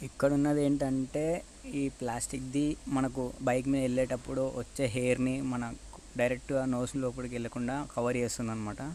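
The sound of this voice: At a fast pace with few pauses, a man speaks at a medium pitch with little pitch movement and a dark, mellow tone.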